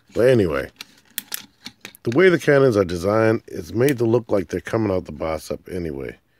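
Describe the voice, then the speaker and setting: A man with a fairly low pitch speaks with long, frequent pauses and very wide pitch swings, in a dry, close sound with no echo. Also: fairly quick pace. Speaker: toy reviewer. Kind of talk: casual product review. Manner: casual, rambling delivery.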